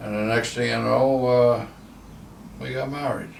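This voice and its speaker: A man with an American accent and ordinary pitch variation, with noticeable background noise and audible room echo. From New Jersey, US. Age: 90s. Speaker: war veteran. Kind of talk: life story interview. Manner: halting.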